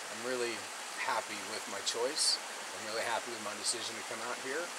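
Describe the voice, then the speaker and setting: A man talks fairly quickly against loud background noise. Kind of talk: casual vlog chat. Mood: reflective, hopeful. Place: waterside. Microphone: camera far.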